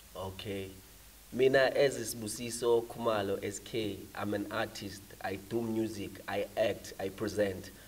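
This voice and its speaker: Somewhat breathy and fairly low in pitch, a man speaks at a fairly slow pace with monotone, flat intonation. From South Africa, Mpumalanga (Nelspruit). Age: 20s. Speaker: rapper. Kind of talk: interview. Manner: code-switching between English and Zulu.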